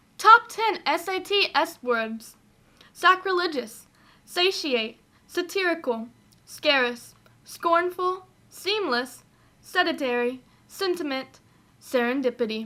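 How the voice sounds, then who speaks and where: A woman's raised, projected voice, bright and sharp at an extremely high pitch, with very wide pitch swings, a very slow pace and long, frequent pauses. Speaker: vlogger. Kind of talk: casual talk to camera.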